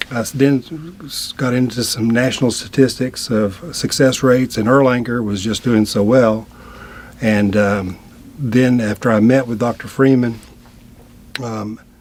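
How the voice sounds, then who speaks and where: A man talks at a fairly slow pace in a medium pitch, with fairly even intonation and long, frequent pauses. Noticeable background noise sits behind him. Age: 60s. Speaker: attorney, patient. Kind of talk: interview testimony. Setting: studio.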